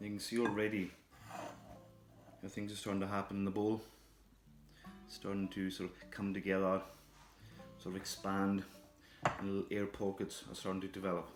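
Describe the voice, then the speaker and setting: A man speaks at a moderate pace in a fairly low pitch with monotone, flat intonation and long, frequent pauses, music playing in the background. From Scotland. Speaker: chef. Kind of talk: cookery demonstration to camera.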